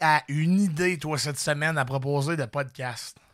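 A man's fairly high, bright and sharp voice with a Quebec accent, animated in tone, fairly slow, with ordinary pitch variation, in a very clean recording over a silent background. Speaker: comedian and podcast host. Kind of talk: casual chat.

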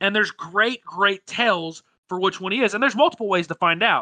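A raised, projected voice with a bright, sharp tone and ordinary pitch variation comes at a moderate pace, the sound dry and close with no echo. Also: man. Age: 20s. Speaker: gaming podcast host. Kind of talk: casual chat.

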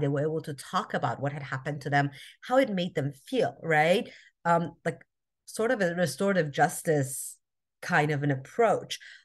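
Over a quiet background, a woman speaks at a fairly quick pace with a very deep, low pitch. Her voice is somewhat breathy, with ordinary pitch variation. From Albuquerque, New Mexico, US. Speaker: social justice activist. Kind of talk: interview conversation. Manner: halting, many fillers.

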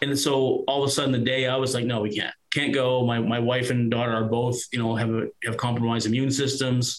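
A man with a Nova Scotia accent talks fairly quickly at medium pitch, monotone and flat, with hardly any pauses and very even loudness. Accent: Atlantic Canadian (Nova Scotia). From Nova Scotia, Annapolis Valley. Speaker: former paramedic and podcaster. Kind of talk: interview testimony.

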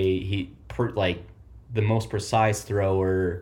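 This man has an American accent and a fairly low, somewhat breathy voice. His pitch varies an ordinary amount. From Oklahoma. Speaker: college football podcast co-host. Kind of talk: casual chat.

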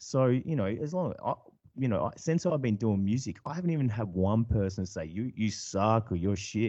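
Against a quiet background, a man with an Australian accent speaks in a dark, mellow tone. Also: medium pitch for a man, moderate pace. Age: 40s. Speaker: electronic musician and farmer. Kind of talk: casual interview chat.

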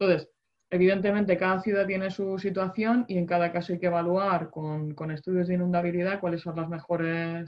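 Her pitch is fairly low for a woman, and her intonation stays fairly even. She speaks at a fairly quick pace. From Murcia, Spain. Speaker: water engineer, podcast co-host. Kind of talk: casual chat. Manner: halting, many repetitions.

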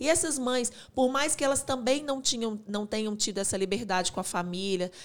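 Over a very clean recording with a silent background, a woman speaks very fast in a fairly high pitch. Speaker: podcast co-host. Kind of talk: casual chat.

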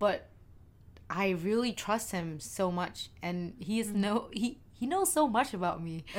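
With a Vietnamese accent, a woman speaks fairly slowly at a medium pitch with lively intonation. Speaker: podcast co-host. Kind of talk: casual chat.

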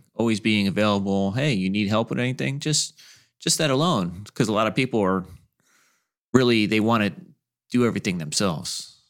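On a very clean recording with a silent background, a man with a fairly low pitch speaks fairly quickly with lively intonation, yet leaves long, frequent pauses. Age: 40s. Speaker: podcast co-host. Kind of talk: casual chat.

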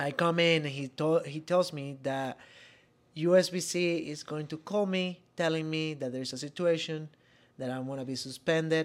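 A fairly high-pitched man with a Venezuelan accent, moderate pace and fairly even intonation, on a very clean recording with a silent background. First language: Spanish. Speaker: podcast co-host, former college bowler. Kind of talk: casual chat.

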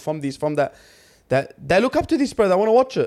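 Talking at a very fast pace with an Australian accent, a man sounds animated, his intonation lively, and the recording is very clean with a silent background. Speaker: sports podcast co-host. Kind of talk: casual chat.

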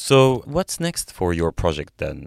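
A man talks at a moderate pace. The recording is very clean with a silent background and a dry, close sound with no echo. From Egypt. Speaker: podcast host. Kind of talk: interview.

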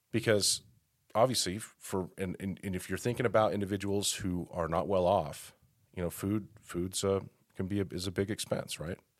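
A normal speaking voice from a man, fairly low-pitched with fairly even intonation at a moderate pace, on a very clean recording with a silent background. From Colorado, Denver area. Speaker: mayor. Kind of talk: casual interview.

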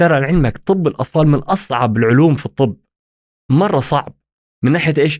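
A man's fairly high voice at a moderate pace, with ordinary pitch variation, very even loudness, and a dry, close sound with no echo. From Saudi Arabia (Jeddah, childhood in Egypt). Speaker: pediatric and sleep medicine consultant. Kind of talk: casual interview. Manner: halting, frequent restarts.

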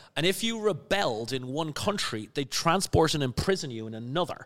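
Male voice with a Dublin accent, lively intonation and hardly any pauses, on a very clean recording with a silent background. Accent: Irish (Dublin area). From Ireland, Skerries near Dublin. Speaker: spirits entrepreneur and educator. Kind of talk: casual chat.

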